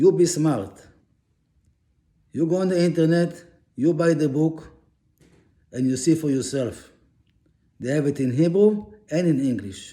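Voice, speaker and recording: Audible room echo surrounds a man with a non-native accent and a dark, mellow tone. His pitch is fairly high with ordinary variation, and he speaks at a fairly slow pace with long, frequent pauses. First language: not English. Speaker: religious teacher. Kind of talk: religious lecture.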